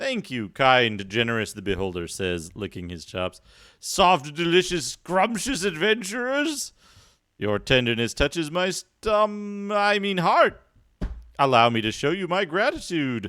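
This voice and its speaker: Man in a put-on character voice, high-pitched, at a moderate pace. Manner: hungry, licking his chops, feigning gratitude.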